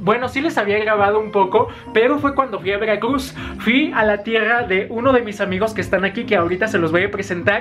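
Against clear background music, a man with a high pitch speaks at a fairly quick pace and ordinary pitch variation. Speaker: vlogger. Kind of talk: casual talk to camera. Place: home room. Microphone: phone near.

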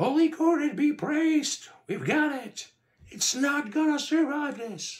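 Using a put-on character voice, a man speaks at an extremely high pitch. His pace is slow and his intonation lively.

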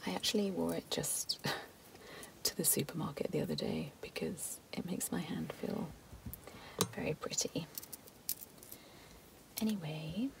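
A woman whispers at a slow pace, her voice dropping into vocal fry.

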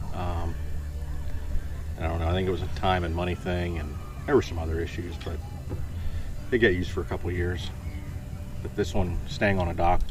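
Over clear background music, a man speaks at a very deep, low pitch and a fairly quick pace, with fairly even intonation and a dry sound with no echo. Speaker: interviewee. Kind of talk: interview answer. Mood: relaxed, dry humor. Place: boat. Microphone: camera far.

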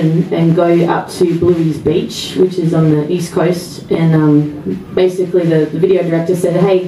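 A woman with a fairly low voice at a moderate pace, with audible room echo and light background noise. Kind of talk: stage banter between songs. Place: bar. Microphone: camera far.

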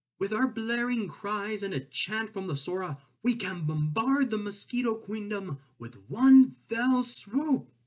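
At a fairly slow pace, a man uses a raised, projected put-on character voice pitched high. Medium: read story. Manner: rousing, commanding.

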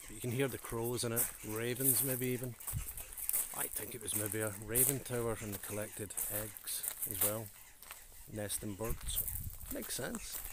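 Noticeable background noise surrounds a man speaking in a monotone, flat intonation with long, frequent pauses and a dry sound with no echo. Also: moderate pace. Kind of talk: casual vlog commentary. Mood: opinionated, wry. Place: open country. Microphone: phone near.

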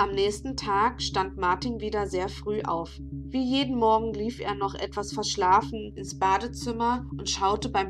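Here someone reads in an unforced voice.

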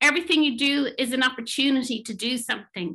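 Against a quiet background, a woman with an Irish accent projects a raised, high voice with a bright, sharp tone, ordinary pitch variation and a moderate pace. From Ireland. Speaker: management consultant and psychotherapist; panelist. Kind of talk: talk presentation; panel discussion answer. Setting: online webinar. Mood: earnest, thoughtful. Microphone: webcam.

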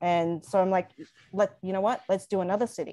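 A woman with an Australian accent, against a quiet background. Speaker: designer and small business owner; guest. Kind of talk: interview. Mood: warm, animated storytelling. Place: home room. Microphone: video call.

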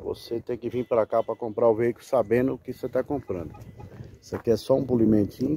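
A man at a fairly quick pace, dark and mellow in tone, somewhat breathy, with ordinary pitch variation, in a dry sound with no echo and light background noise. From Brazil. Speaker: car broker selling used vehicles. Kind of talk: street seller pitchman, sales pitch walk-around video. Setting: outdoors at car lot, filming vehicle. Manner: fast, chatty, upbeat patter, hyping the deal, reassuring casual asides. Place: open country. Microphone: phone near.

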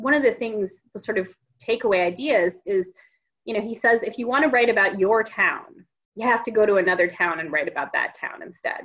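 This woman has a plain, everyday voice with an American accent. She speaks at a fairly quick pace, fairly high in pitch, with lively intonation. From US Midwest, Minneapolis-St. Paul. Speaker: fiction author. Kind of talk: casual interview chat.

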